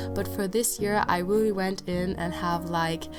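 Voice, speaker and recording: A woman's voice comes through with music in the background. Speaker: bullet journal creator. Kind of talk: casual talk to camera.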